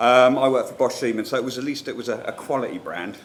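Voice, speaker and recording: With a southern English accent, a man speaks at a fairly quick pace amid noticeable background noise and audible room echo. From northern England, Newcastle upon Tyne. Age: middle-aged. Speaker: marketing manager, conference speaker. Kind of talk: conference talk. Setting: stage with audience. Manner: informal, humorous.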